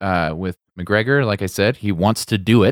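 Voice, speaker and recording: With an American accent, a man speaks in a plain, everyday voice at a fairly slow pace and ordinary pitch variation. The sound is dry and close with no echo, a very clean recording with a silent background. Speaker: podcast host. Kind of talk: casual chat.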